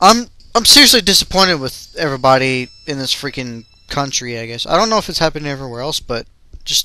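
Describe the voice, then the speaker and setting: A man with a fairly high pitch and an unremarkable speaking voice. He talks at a fairly quick pace. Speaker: gaming video ranter. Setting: home recording while playing a video game.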